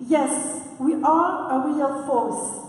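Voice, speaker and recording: Over noticeable background noise and audible room echo, a woman with a non-native accent speaks at a high pitch with fairly even intonation. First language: not English. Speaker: conference speaker. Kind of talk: prepared speech. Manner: halting, frequent uh.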